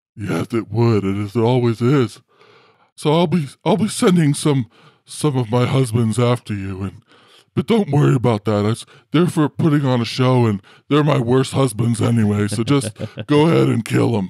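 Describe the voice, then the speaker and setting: A man speaks in a put-on character voice at medium pitch. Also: moderate pace. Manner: smug, indulgent, casually cruel; lazy, self-satisfied.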